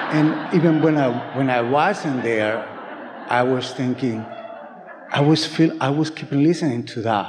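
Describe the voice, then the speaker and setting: Against noticeable background noise and audible room echo, a man speaks at a fairly slow pace. His voice is fairly high, with ordinary pitch variation. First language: not English. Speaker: workshop participant. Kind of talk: casual chat. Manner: halting.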